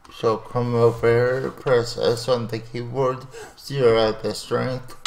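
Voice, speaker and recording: A man mumbling at a fairly slow pace, flat and monotone, over noticeable background noise. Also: medium pitch for a man. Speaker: animation software tutorial creator. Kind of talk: tutorial.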